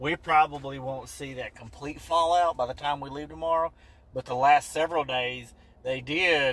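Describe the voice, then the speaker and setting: The recording has a dry sound with no echo. A man speaks at a moderate pace with ordinary pitch variation. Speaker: vlogger. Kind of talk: casual vlog chat. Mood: relaxed, upbeat. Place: car. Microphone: phone near.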